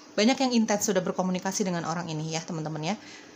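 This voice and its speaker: Noticeable background noise accompanies a woman who is talking at a very fast pace. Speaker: tarot reader. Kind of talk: tarot reading. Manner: casual, repetitive.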